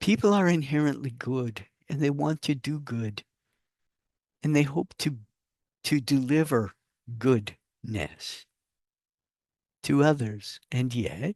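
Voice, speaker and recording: Against a quiet background, in a dry, close sound with no echo, a man with a fairly high pitch speaks very slowly with lively intonation and long, frequent pauses. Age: 60s. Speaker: spiritual channel host, channeler. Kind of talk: spiritual talk to camera. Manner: casual, with hesitations.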